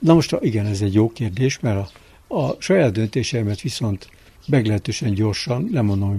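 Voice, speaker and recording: A man talks at a fairly quick pace in a fairly low, dark and mellow voice that is somewhat breathy, with lively intonation. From Budapest, Hungary. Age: 70s. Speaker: winemaker. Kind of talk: interview. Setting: outdoors on a terrace.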